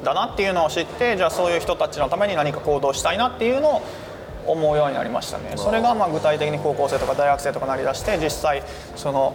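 Through noticeable background noise, a man talks at a very fast pace in a high pitch with lively intonation. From Japan, Osaka. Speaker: humanitarian aid worker and YouTuber. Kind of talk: interview. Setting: cafe.

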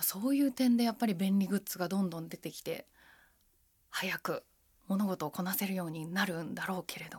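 On a very clean recording with a silent background, a woman talks at a fairly quick pace in a medium pitch, somewhat breathy, with ordinary pitch variation. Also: big swings in loudness. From Japan, Machida, Tokyo. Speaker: henna artist, essayist and radio navigator. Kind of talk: casual interview chat.

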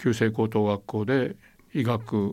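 A man speaks very slowly in a very clean recording with a silent background. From Taiwan (Okinawan family). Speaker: war survivor, former interpreter. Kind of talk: interview, reminiscing.

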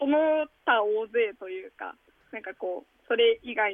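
A woman with a high pitch and lively intonation speaks at a fairly slow pace. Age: 20s. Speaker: nonprofit founder, sex education activist. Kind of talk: interview.

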